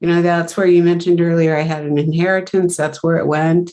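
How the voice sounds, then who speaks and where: A woman speaks at a fairly low pitch. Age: 60s. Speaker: marketing executive. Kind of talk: interview. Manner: halting.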